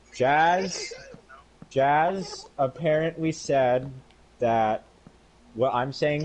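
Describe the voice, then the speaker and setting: Over noticeable background noise, a man with a fairly high pitch speaks very slowly with ordinary pitch variation. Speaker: streamer. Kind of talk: casual chat. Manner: halting.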